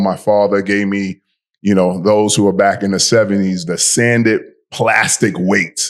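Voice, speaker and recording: Fairly slow, monotone, flat delivery from a man with a New York accent. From New York City (Bronx). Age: 60s. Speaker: fitness podcast host. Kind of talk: casual podcast chat.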